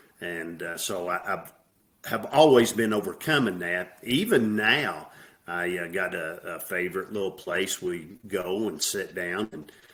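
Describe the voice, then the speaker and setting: A man with a Southern US accent speaks fairly slowly. His voice is very deep and low, with ordinary pitch variation. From US South. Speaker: military veteran, former alcoholic. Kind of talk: podcast interview.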